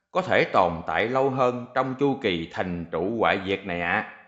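A man speaks at a fairly slow pace. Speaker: reader of listener questions. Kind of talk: reading aloud.

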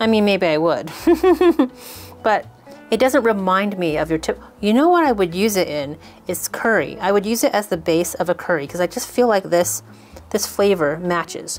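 A woman's moderately paced speech comes over faint music in the background. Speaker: channel host. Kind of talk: cooking tutorial chat. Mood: cheerful, light. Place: kitchen.

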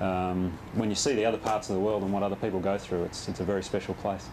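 With an Australian accent, a man talks at a very fast pace in a fairly low pitch. His intonation is monotone and flat, and background noise is noticeable. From Western Australia, Perth. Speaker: professional golfer. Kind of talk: interview. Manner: halting, many repetitions and fillers. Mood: relaxed, friendly. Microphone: lapel.

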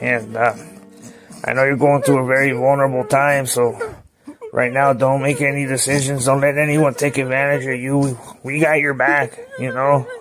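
A man speaks at a moderate pace. His medium pitch holds fairly even intonation. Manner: measured, brooding.

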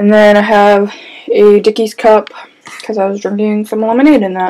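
A woman's voice at a moderate pace. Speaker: vlogger giving room tour. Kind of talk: casual vlog chat. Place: home room. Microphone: phone near.

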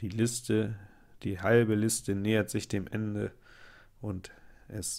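On a very clean recording with a silent background, the speech unfolds at a very slow pace. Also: man. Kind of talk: live gameplay commentary. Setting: at home. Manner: casual, chatty.

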